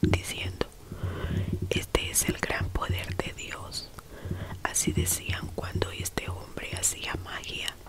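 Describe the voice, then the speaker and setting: Whispering comes very slowly, broken by long, frequent pauses, with noticeable background noise behind it. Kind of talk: Bible reading, whispered ASMR. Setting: relaxation/sleep video read to camera. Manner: whispered, soft-spoken, slow.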